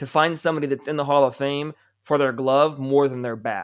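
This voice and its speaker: The speaker uses a plain, everyday voice. The pace is moderate and the pitch varies in an ordinary way. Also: man. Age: 20s. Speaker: sports podcaster. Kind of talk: casual chat.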